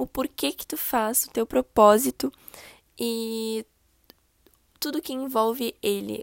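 This woman's voice is fairly high in pitch. The recording is very clean and dry, close up with no echo and a silent background. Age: 20s. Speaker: podcast host and digital marketing consultant. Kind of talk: podcast introduction monologue. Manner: casual, friendly.

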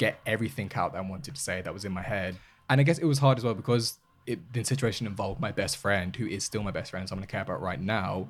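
A man races along at a very fast pace, his fairly low-pitched voice full of lively intonation. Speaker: member of an LGBTQ charity's advocacy team. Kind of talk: casual chat. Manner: clear diction.

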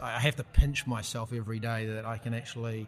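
Here a man talks with a New Zealand accent at a medium pitch. His pace is fairly quick. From New Zealand, rural Taranaki and Waikato. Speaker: tech entrepreneur. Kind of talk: casual interview.

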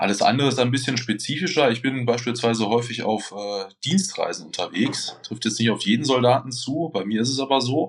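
An unremarkable speaking voice from a man at medium pitch, with ordinary pitch variation, a fairly quick pace and hardly any pauses. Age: 30s. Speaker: bodybuilder and competition judge. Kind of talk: casual interview.

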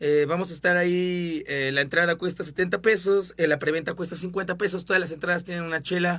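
Speaking at a moderate pace, a man uses a high pitch and a bright, sharp tone. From Mexico City. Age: 20s. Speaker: local musician. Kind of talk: casual chat.

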